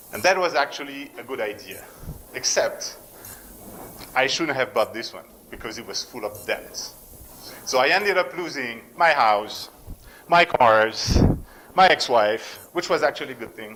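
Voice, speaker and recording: Over noticeable background noise, a man with a French accent speaks at a moderate pace and fairly high pitch, using lively intonation, big swings in loudness and long, frequent pauses. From France, near German border. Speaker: entrepreneur. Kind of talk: pitch talk.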